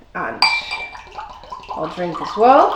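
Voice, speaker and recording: A woman speaks at a high pitch and a fairly slow pace. Noticeable background noise runs behind her. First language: Dutch. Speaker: food and drink host. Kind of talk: presentation to camera.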